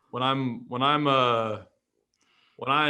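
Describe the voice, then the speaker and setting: At a medium pitch, a man with a plain, everyday voice talks with fairly even intonation. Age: 30s. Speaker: rehab doctor and clinic owner. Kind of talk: podcast interview.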